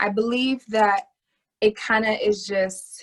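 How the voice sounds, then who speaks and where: Her pitch sits fairly high. The woman talks with an American accent. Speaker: actress. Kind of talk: interview.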